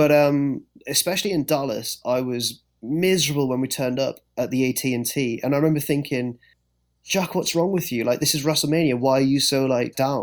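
A man with a fairly high pitch, fairly even intonation and fairly quick pace, on a very clean recording with a silent background. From England. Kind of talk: casual chat. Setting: podcast.

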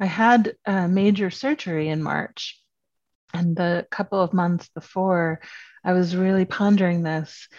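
In an unremarkable speaking voice, a woman at medium pitch talks at a fairly slow pace with fairly even intonation, the sound dry and close with no echo and the background quiet. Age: 50s. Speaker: writer and spiritual teacher. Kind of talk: casual chat.

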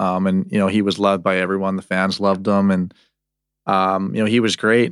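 On a very clean recording with a silent background, a man with an Albertan accent talks at a fairly quick pace. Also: dry, close sound with no echo. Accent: Canadian (Alberta). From Canada (Calgary). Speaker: professional hockey goaltender. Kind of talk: casual interview.

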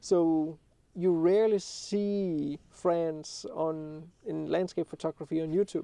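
Speaking at a very slow pace with a Danish accent, a man uses a high pitch, a dark, mellow tone and fairly even intonation. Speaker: landscape photographer and YouTuber. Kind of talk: podcast interview.

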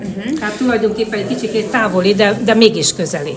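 Through noticeable background noise and audible room echo, a woman speaks at a medium pitch and a fairly quick pace. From Hungary, Tolna county (Szálka). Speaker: choir member. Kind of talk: interview.

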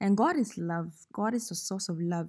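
A woman with a Ghanaian accent speaks in a playful, dark, mellow tone, somewhat breathy, at a medium pitch with ordinary pitch variation. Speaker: podcast host. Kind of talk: storytelling monologue with devotional reflection. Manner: playful, laughing.

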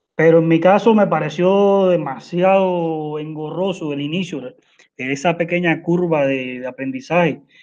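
This man has a high pitch with ordinary pitch variation. He speaks at a fairly slow pace. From Cuba. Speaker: software engineer. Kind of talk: technical presentation. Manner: halting.

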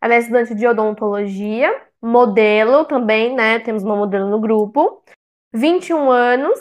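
A woman speaks in a normal speaking voice at a fairly high pitch. Her pace is moderate and her pitch variation ordinary. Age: 20s. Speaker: fan podcast co-host, public relations professional. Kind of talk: casual chat.

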